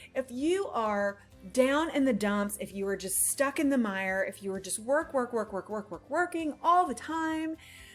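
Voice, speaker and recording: A woman's high voice with very wide pitch swings, music playing in the background. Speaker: life coach. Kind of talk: motivational talk. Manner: fast; animated.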